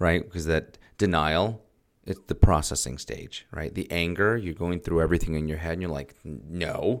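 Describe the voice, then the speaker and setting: Loudness swings widely as a man speaks at a moderate pace in a very deep, low voice with ordinary pitch variation. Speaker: podcast host. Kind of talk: casual chat. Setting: studio.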